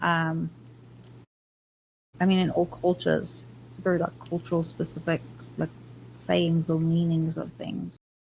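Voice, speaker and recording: Somewhat breathy, a woman's voice sits at a fairly low pitch. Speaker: podcast guest. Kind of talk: casual chat.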